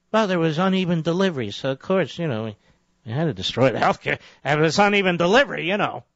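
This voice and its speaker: In an American accent, a man with a high voice talks very fast with lively intonation. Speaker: conservative talk radio host. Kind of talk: talk radio monologue. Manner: emphatic, sarcastic, rhetorical.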